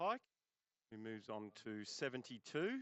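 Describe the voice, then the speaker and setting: A man speaks with an Australian accent. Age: 60s. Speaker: cricket commentator. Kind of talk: live commentary. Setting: commentary box.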